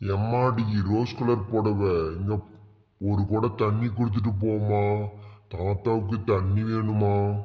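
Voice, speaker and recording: Using a cartoonish character voice, a man talks at a very slow pace in a fairly low, monotone, flat tone with very even loudness. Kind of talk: comic cartoon village dialogue. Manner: gruff, quarrelsome.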